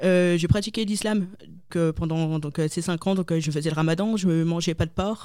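A woman's fairly low, dark, mellow voice, flat and monotone, in a very clean recording with a silent background. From northern France, Lille. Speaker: convert giving faith testimony. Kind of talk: testimony. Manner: halting, many hesitations.

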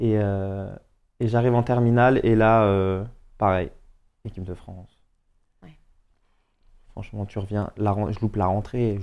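Against a quiet background, a man with a fairly low pitch talks at a moderate pace, with big swings in loudness and long, frequent pauses. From Paris suburbs, Seine-Saint-Denis. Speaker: professional footballer. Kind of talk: casual chat. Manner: animated.

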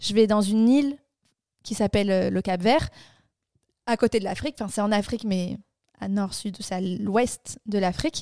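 On a very clean recording with a silent background and a dry, close sound with no echo, a woman speaks at a moderate pace in a medium pitch with ordinary pitch variation, a dark, mellow tone, and long, frequent pauses. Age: 20s. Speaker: podcast co-host. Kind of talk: casual chat.

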